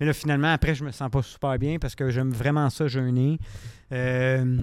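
In a Quebec accent, the speaker moves at a moderate pace with fairly even intonation. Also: man. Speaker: podcast co-host. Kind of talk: casual chat. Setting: studio.

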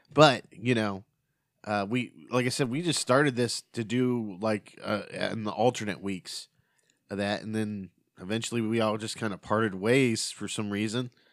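The recording is very clean, with a silent background, and a man talks in a normal speaking voice at a fairly low pitch. His pace is moderate and his intonation fairly even. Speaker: podcast host. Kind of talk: casual chat.

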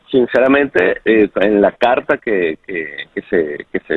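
The man's voice sits at medium pitch with ordinary pitch variation. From Venezuela. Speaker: journalist. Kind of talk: interview. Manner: halting.

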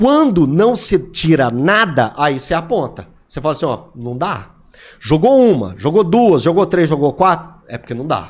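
This man's fairly high voice swings very widely in pitch as he talks at a moderate pace. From Minas Gerais interior, Divinópolis. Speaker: sports commentator. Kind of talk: casual chat.

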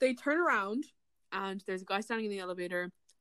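An animated tone with an Irish accent. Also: woman. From Ireland. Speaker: podcast co-host. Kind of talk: casual chat. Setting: video call.

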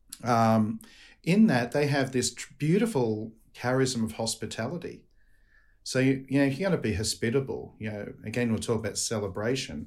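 A man with an Australian accent talks at a moderate pace in a medium pitch, with ordinary pitch variation. The recording is very clean, with a silent background. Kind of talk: casual interview chat.

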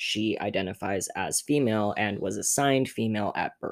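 A man speaks in a normal speaking voice at a fairly low pitch. His pace is moderate and his intonation fairly even. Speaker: guest. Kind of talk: casual interview chat.

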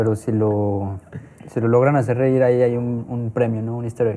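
A man at a moderate pace. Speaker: podcast host. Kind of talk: casual chat.

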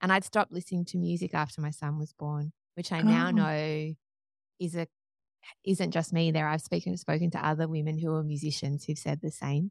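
A woman's very deep, low voice with an Australian accent, fairly even intonation and a fairly quick pace, in a dry, close sound without echo. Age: 30s. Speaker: singer-songwriter and podcaster. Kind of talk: interview conversation.

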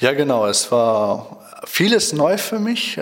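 A man with a fairly high voice lets his pitch swing very widely. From Germany, Schloss Holte (Westphalia). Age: 20s. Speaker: Bible school student. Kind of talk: radio interview. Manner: hesitant, many fillers.

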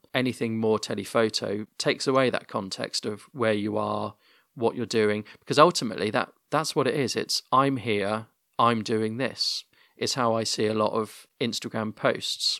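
Captured in a very clean, dry, close recording with a silent background and no echo, a man with a British accent speaks at medium pitch and a moderate pace, his tone bright and sharp and his intonation fairly even. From UK. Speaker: podcast host. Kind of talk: casual interview chat. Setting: home recording, internet podcast.

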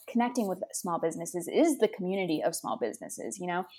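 A woman with an American accent speaks in an unremarkable speaking voice at medium pitch, her intonation lively. The recording is very clean, with a silent background. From Los Angeles, California. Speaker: clothing brand founder, college student. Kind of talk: casual interview.

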